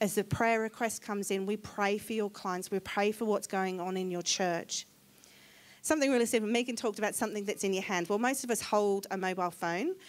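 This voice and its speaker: The recording is very clean, with a silent background. The speaker has a slight English accent and a fairly quick pace with fairly even intonation. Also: woman, medium pitch for a woman. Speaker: charity representative speaking at church. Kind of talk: church talk. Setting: church service.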